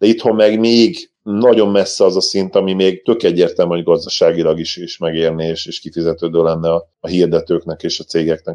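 Speaking at a fairly quick pace, a man has a fairly low pitch and ordinary pitch variation. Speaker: basketball podcast co-host. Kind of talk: casual chat.

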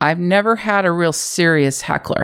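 On a very clean recording with a silent background, a woman with an American accent speaks at a fairly slow pace. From US West Coast, San Francisco Bay Area. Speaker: comedian and writer. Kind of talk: casual chat. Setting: office.

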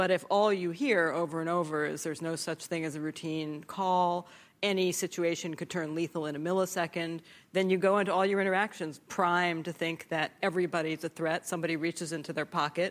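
A woman with an unremarkable speaking voice talks at a fairly low pitch, a fairly quick pace and fairly even intonation. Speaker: former Pentagon official and author. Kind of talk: panel discussion. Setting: stage with audience.

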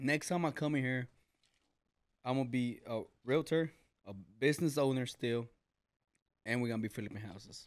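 Pausing long and often, a man with a Mexican accent speaks at a medium pitch. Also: ordinary pitch variation, moderate pace. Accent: sounds Mexican. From US, Mexican-American family. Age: 20s. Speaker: HVAC business owner. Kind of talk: casual chat.

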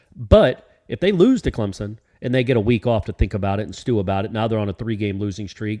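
A man with a slight Southern US accent talks at a very fast pace in a fairly low pitch, his tone dark and mellow. His intonation stays fairly even over a quiet background. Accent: slight Southern twang. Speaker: sports podcast co-host. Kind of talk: casual sports chat.

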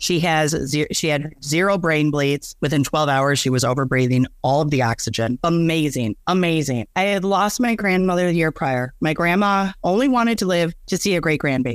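A man talks at a moderate pace in an ordinary speaking voice, fairly high in pitch with lively intonation. His loudness stays very even, he leaves hardly any pauses, and the recording is very clean with a silent background. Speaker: storyteller about her divorce. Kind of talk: personal story interview.

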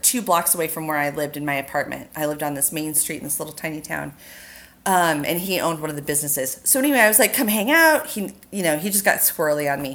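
In an American accent, a woman talks at a very fast pace with very wide pitch swings. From US West Coast. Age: 40s. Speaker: makeup artist. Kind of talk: casual chat.

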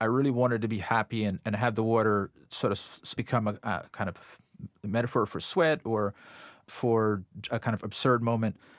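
The voice has a slight Jamaican accent and a dry, close sound with no echo. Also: man. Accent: slight Jamaican lilt. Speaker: artist. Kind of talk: interview. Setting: remote studio.

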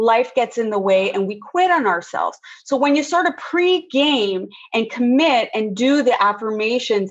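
The intonation is lively and the pace fairly slow. This is a normal speaking voice. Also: woman. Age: 50s. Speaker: women's weight and mindset coach. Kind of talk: podcast interview.

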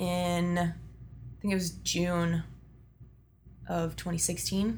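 A voice with an American accent and audible room echo. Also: woman. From Texas (Austin area). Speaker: strength and conditioning coach. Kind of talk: interview.

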